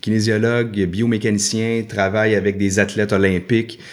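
A man's flat, monotone delivery over background music. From Quebec, Laurentides. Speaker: hiker and adventurer. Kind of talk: casual interview.

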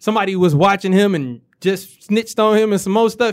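Pitched high, a man speaks at a fairly quick pace. The recording is very clean, with a silent background. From Detroit, east side. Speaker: rapper. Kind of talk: casual chat.

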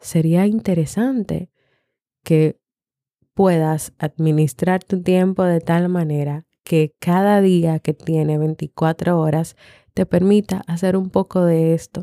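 Very slowly and with fairly even intonation and very even loudness, a woman speaks in a fairly low voice with a dark, mellow tone, the sound dry and close with no echo on a very clean recording with a silent background. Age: 30s. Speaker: podcast host and psychologist. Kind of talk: reflective monologue.

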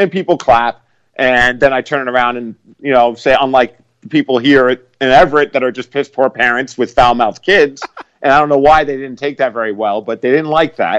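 A man talks at a fairly quick pace with medium pitch and ordinary pitch variation, in a plain, everyday voice. The sound is dry and close, with no echo. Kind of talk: casual chat.

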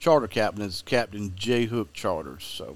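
Over a very clean recording with a silent background, a man with a Southern US accent speaks at a moderate pace. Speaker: fishing guide and TV host. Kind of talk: casual interview chat.

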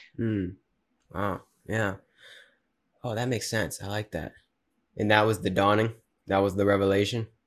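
A man with a fairly low pitch speaks in a monotone, flat way at a moderate pace, leaving long, frequent pauses. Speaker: podcast host. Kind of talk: casual interview conversation. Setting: video call.

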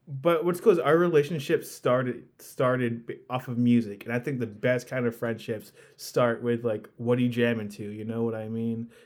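Here is a man with a plain, everyday voice at medium pitch and ordinary pitch variation. He keeps a moderate pace with hardly any pauses. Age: 20s. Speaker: podcast host. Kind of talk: casual chat. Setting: remote call.

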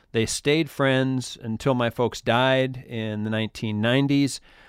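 A man in an American accent with ordinary pitch variation on a very clean recording with a silent background. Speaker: podcast host. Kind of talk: scripted narration and intro. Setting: studio.

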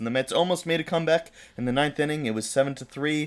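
A man with a playful tone, at a very fast pace, with ordinary pitch variation. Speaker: podcast host. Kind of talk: casual banter podcast chat. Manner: joking, playful.

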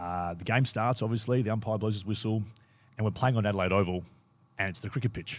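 A man with an Australian accent, fairly low-pitched and very fast, on a very clean recording with a silent background. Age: 40s. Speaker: former footballer. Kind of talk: casual chat. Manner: animated.

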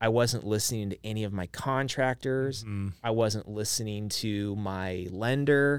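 An unremarkable speaking voice from a man with an American accent, fairly low in pitch, fairly slow, fairly even in intonation, with hardly any pauses. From Idaho. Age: 40s. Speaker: business owner. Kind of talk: interview.

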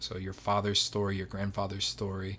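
A man with an ordinary speaking voice, fairly low in pitch, at a moderate pace in a very clean recording with a silent background. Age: late 20s. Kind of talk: casual interview. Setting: home nursery room.

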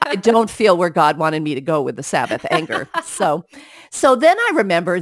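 Speaking at a fairly quick pace, a woman with fairly low pitch and lively intonation uses an ordinary speaking voice. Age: 60s. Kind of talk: casual Bible discussion.

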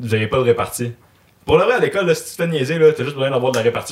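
A man with a Quebec accent and ordinary pitch variation. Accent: Québécois French. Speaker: podcast host. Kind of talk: casual chat. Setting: live-streamed podcast studio.

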